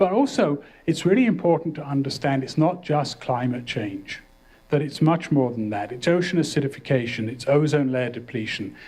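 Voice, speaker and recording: The man's voice is somewhat breathy and fairly high in pitch. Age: 60s. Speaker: professor. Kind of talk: lecture.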